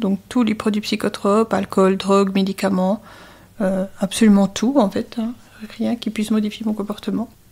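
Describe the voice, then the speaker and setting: A woman's medium-pitched voice, a plain, everyday voice, with fairly even intonation. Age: 60s. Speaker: addiction counselor. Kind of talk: interview.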